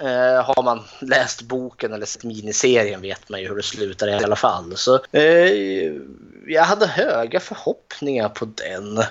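In an ordinary speaking voice, a man talks at a fairly slow pace and medium pitch, with lively intonation and big swings in loudness. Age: 30s. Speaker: podcast co-host. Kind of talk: casual chat.

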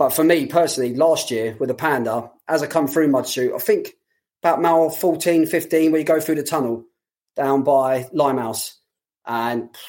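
A man with a London accent speaks at a fairly quick pace and a fairly high pitch. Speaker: running coach. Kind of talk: casual chat.

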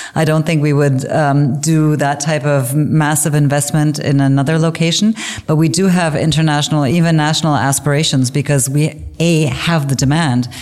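A woman with a Canadian accent speaks in a very deep, low pitch with fairly even intonation. She keeps her loudness very even and hardly pauses. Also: moderate pace. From English-speaking Canada. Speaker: business executive. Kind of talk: interview.

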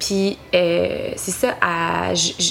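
There is noticeable background noise behind a woman speaking at a fairly low pitch. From Quebec, West Island of Montreal. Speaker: singer-songwriter. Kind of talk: interview. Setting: at home.

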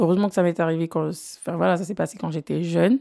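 A woman speaks at a fairly low pitch. The sound is dry and close with no echo, on a very clean recording with a silent background. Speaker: podcaster and former singer. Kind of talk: personal storytelling monologue. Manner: casual, with many hesitations.

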